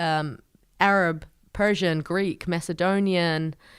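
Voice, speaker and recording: Heard in a very clean recording with a silent background, a woman at medium pitch speaks with ordinary pitch variation. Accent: New Zealand. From New Zealand. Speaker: lawyer and refugee advocate. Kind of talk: podcast interview.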